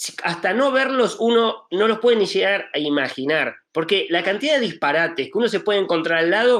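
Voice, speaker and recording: A man with an Argentine accent at a moderate pace, his pitch swinging very widely. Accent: Argentine accent on a Spanish speaker. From Spain. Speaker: film art director. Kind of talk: panel discussion. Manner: hesitant, many fillers.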